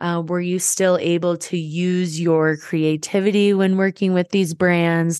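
A plain, everyday voice from a woman, fairly low in pitch, with fairly even intonation at a moderate pace, in a dry, close sound with no echo and a quiet background. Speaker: podcast host. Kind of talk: casual interview chat.

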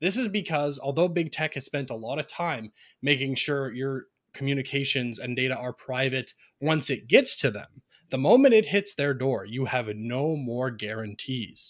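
A man with a plain, everyday voice speaks at a moderate pace with a Canadian accent, medium pitch and ordinary pitch variation in a very clean recording with a silent background. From Ontario, Canada. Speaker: free software advocate, tech support background. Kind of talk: presentation with slides in a round-table chat.

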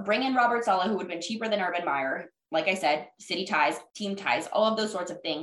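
Using a normal speaking voice, a woman talks at a fairly quick pace with lively intonation and a fairly high pitch. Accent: American. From Jacksonville, Florida. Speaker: sports reporter and podcast host. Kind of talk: casual chat.

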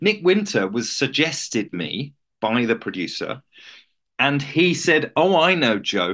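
A man's pitch swings very widely, with vocal fry. The background is quiet. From rural England. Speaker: actor. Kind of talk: interview.

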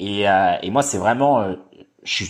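In an unremarkable speaking voice, a man talks at a fairly slow pace and medium pitch with lively intonation against a quiet background. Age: 20s. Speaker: podcast host and movement coach. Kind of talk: casual chat.

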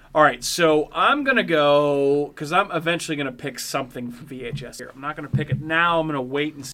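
With an American accent and a fairly high pitch, a man speaks fairly quickly and with fairly even intonation, hardly pausing, against noticeable background noise. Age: 30s. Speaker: podcast host. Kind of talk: casual chat. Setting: studio.

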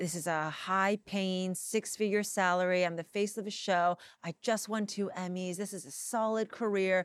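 Recorded very cleanly against a silent background with a dry, close sound and no echo, a woman with an ordinary speaking voice and medium pitch talks at a moderate pace with fairly even intonation and hardly any pauses. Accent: American. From Los Angeles, US. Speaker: tv host and writer. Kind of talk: interview conversation. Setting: in person, Los Angeles.

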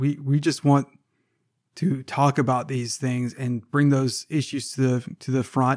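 A man with an American accent and an unremarkable speaking voice, at medium pitch with ordinary pitch variation and a fairly slow pace, in a dry, close sound with no echo and a very clean recording with a silent background. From US South (Savannah, Georgia). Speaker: management professor, podcast co-host. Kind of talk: casual chat.

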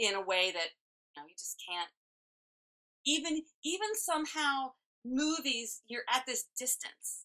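A woman with an American accent raises and projects her high voice in a bright, sharp tone, moving at a fairly slow pace with long, frequent pauses and very wide pitch swings. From West Virginia, Randolph County. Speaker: voice actor. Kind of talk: interview.

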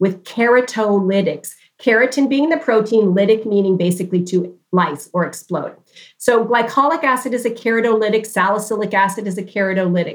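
This is a woman with a plain, everyday voice at a medium pitch. She talks at a fairly quick pace with ordinary pitch variation. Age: 60s. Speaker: dermatologist. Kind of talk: interview.

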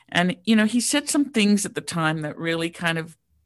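Over a quiet background, a woman talks with an Australian accent. Her intonation is lively. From Sydney, Australia. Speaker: real estate crowdfunding founder. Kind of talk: interview. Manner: hesitant, frequent ums.

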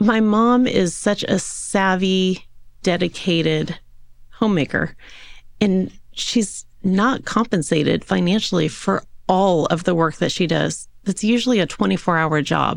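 A woman at a medium pitch speaks with very even loudness and ordinary pitch variation. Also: fairly slow pace. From Southern California, Yorba Linda. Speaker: wealth advisor. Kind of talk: interview.

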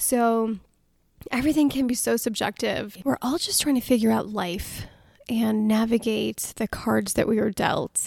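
Somewhat breathy and fairly high-pitched, a woman with an American accent speaks at a fairly slow pace in a very clean recording with a silent background. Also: ordinary pitch variation. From United States, Indian immigrant family. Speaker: podcast host. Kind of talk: personal storytelling monologue.

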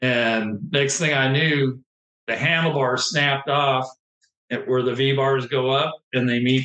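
With an American accent, a man speaks fairly slowly in a fairly high pitch, his intonation fairly even and his loudness very even, in an ordinary speaking voice. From Southern California. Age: 50s. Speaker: retired ATV and motocross racer. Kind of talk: casual interview.

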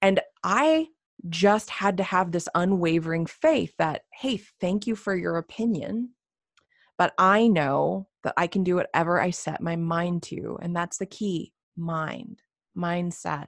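A fairly low-pitched woman with an American accent talks at a fairly slow pace with ordinary pitch variation, on a very clean recording with a silent background and a dry, close sound with no echo. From US South, Radford, Virginia. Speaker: entrepreneur and coach. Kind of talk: interview, casual chat.

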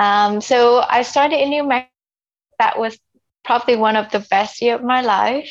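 At a moderate pace, a woman with a Vietnamese accent talks in a high voice with fairly even intonation. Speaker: immigrant sharing life story. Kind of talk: interview. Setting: internet call. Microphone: unstable internet connection.

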